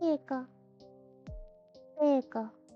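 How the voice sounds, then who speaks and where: A female-sounding voice, high in pitch, puts on a character. Clear music plays in the background. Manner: sad.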